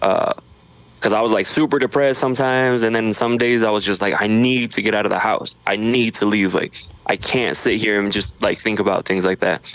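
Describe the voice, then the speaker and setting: An unremarkable speaking voice from a man with an American accent, medium pitch, fairly even intonation, very even loudness and a fairly quick pace. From Idaho, US. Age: 30s. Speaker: social media creator. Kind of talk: podcast interview. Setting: home studio.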